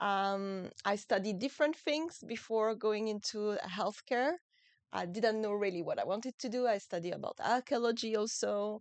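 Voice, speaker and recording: Over a quiet background, a woman talks at a moderate pace in a fairly high voice with ordinary pitch variation. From France. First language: French. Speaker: muscular dystrophy expert and author. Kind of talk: podcast interview. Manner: relaxing, soothing; halting, with fillers.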